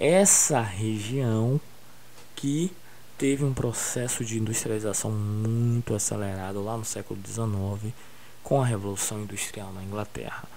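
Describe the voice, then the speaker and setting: Amid noticeable background noise and audible room echo, a man with a fairly low pitch speaks at a fairly slow pace with ordinary pitch variation. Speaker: school geography teacher. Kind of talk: recorded online lesson.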